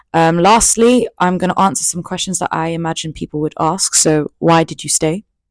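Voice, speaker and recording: In a London accent, this woman speaks at a moderate pace, her fairly low pitch showing ordinary variation. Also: dry, close sound with no echo, very clean recording, silent background. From England, East London. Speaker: YouTuber. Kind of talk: storytime monologue. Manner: casual. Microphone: new mic.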